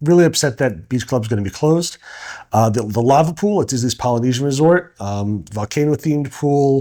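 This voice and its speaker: A man speaks with a slight New York accent and lively intonation. His tone is dark and mellow, his pitch fairly high. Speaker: co-host and vacation rental business owner. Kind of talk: casual podcast chat. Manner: halting with frequent repeated words.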